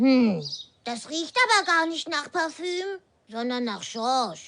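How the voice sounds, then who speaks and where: In a put-on character voice, the speaker uses a high pitch and a fairly slow pace. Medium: audio drama. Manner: gentle, friendly.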